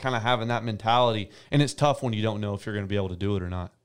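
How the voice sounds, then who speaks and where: Very fast speech from a man in an American accent fills a very clean recording with a silent background. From US South, Tennessee (near Nashville). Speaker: professional arena football quarterback. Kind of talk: casual interview.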